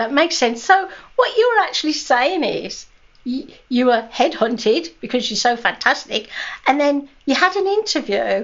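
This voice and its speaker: A woman's high voice in a British accent, at a moderate pace with very wide pitch swings. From Britain. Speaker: podcast co-host. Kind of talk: casual chat.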